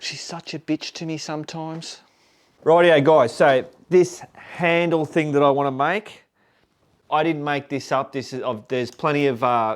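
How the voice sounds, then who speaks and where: A man with an Australian accent talks at a moderate pace and fairly high pitch, with ordinary pitch variation and big swings in loudness. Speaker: motorcycle vlogger. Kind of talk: casual vlog talk to camera. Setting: home garage.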